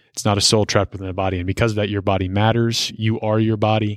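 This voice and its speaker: Very fast and monotone, a man speaks in a fairly low pitch with flat intonation. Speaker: seminarian podcast co-host. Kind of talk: casual discussion podcast interview.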